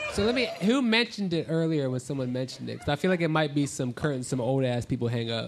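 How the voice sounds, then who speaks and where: A man rattles along at a very fast pace with hardly any pauses, his pitch fairly high and his intonation lively. Noticeable background noise is present. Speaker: comedian contestant. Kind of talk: live quiz show comedy. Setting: stage with audience. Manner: crude, joking.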